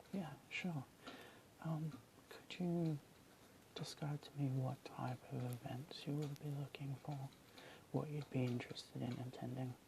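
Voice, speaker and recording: Soft-spoken whispering unfolds at a fairly slow pace with long, frequent pauses. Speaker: ASMR artist. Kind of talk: ASMR roleplay, whispered booking agent call. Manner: whispered, soft-spoken.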